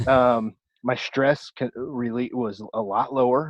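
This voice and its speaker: Here a man is speaking. His pitch sits in the medium range. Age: 40s. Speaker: bodybuilding podcast host and gym owner. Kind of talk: casual podcast conversation. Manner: animated.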